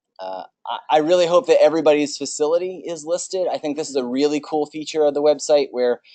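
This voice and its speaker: A man, quiet background, dry and close sound with no echo. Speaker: veterinary specialist chairing association meeting. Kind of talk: business meeting presentation. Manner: fast.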